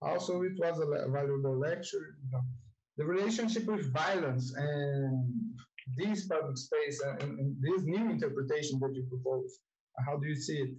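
A man with a Portuguese accent speaks at a fairly high pitch and a moderate pace, his intonation lively. His loudness stays very even over a quiet background. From Brazil. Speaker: event moderator. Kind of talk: moderated Q&A. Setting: video call. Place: home room. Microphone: earbuds.

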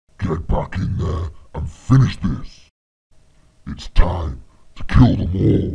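A man's put-on character voice, very deep and low-pitched, at a very slow pace with long, frequent pauses

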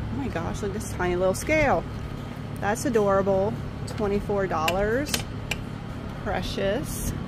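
Loud background noise runs under speech delivered at a moderate pace. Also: woman. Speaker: thrift shopper vlogger. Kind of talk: casual vlog chat. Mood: excited, cheerful. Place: market. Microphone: phone near.

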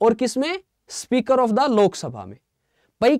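A man's high-pitched, dark and mellow voice at a fairly slow pace, dry with no echo, against a quiet background. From Haryana. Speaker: exam coaching teacher. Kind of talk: online live lecture. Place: studio. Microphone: lapel.

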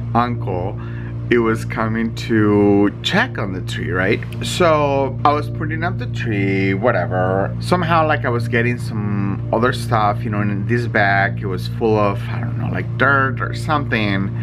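Speech at a fairly slow pace plays over music in the background. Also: man. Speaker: vlogger. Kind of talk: casual vlog chat, personal story. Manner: drowsy, lying-down storytelling voice. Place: home room. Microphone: phone near.

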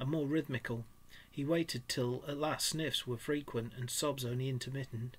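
The clip presents an unforced reading voice.

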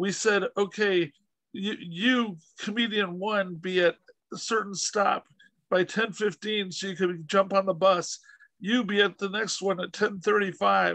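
Over a quiet background, a man with a high pitch speaks at a fairly slow pace with fairly even intonation, the sound dry with no echo. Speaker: podcast host interviewer. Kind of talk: casual interview storytelling. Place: home room. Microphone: video call.

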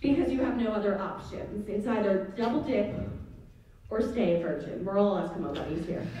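A woman with an American accent speaks at a fairly quick pace with lively intonation. Strong room echo surrounds her voice. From US. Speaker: student stand-up comedian. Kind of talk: stand-up comedy. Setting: stage with audience. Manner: animated, raunchy, self-deprecating. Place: stage.

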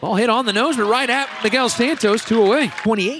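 A man speaks in a raised, projected voice with a high pitch. Noticeable background noise can be heard. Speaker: color commentator. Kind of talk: live baseball color commentary, analyzing pitches. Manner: measured, analytical, conversational.

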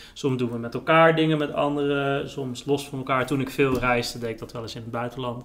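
A man speaks at a fairly quick pace with hardly any pauses. His intonation is monotone and flat. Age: 30s. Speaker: writer and journalist; guest, journalist. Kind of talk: casual chat. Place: kitchen.

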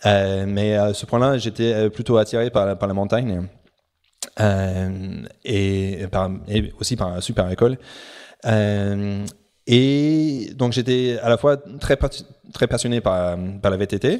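On a very clean recording with a silent background, a man speaks at a very slow pace with long, frequent pauses. His pitch is fairly low, with ordinary variation. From New Zealand, Auckland. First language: English (speaking French). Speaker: professional sailor. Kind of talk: interview. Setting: at his home. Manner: halting.

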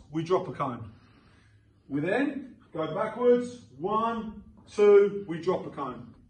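A man is speaking. Audible room echo can be heard around his voice. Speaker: boxing coach. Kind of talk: tutorial. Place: gym.

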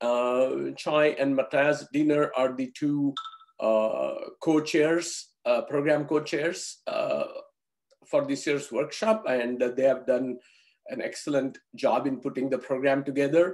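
Speech moves at a very slow pace with ordinary pitch variation against a quiet background. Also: man. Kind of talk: opening remarks. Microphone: video call.

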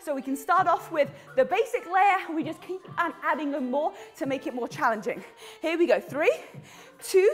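A woman talks at an extremely high pitch. Faint music plays in the background. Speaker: fitness instructor. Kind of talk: workout instruction and casual chat. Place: home room.

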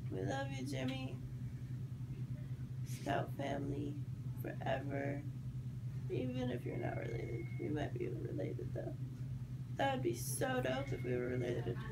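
Over loud background noise, a woman drawls at a moderate pace with long, frequent pauses. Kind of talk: casual heartfelt message to camera. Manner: drowsy, drawling medicated voice. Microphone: phone near.

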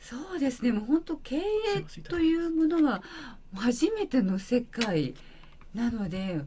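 A woman with a high pitch and a dark, mellow tone speaks at a fairly slow pace, leaving long, frequent pauses. Her pitch swings very widely over light background noise. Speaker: beauty salon owner; guest. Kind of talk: interview. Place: studio. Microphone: studio mic.

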